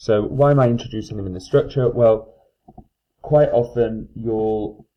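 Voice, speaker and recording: A man talks at a moderate pace. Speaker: maths teacher. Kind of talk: lecture. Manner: hesitant fillers.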